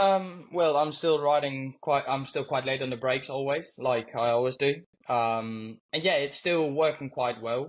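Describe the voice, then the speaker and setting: The speaker talks at a moderate pace with a slight Birmingham accent. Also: man, ordinary pitch variation. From Netherlands. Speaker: motorcycle racer. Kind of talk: interview answers.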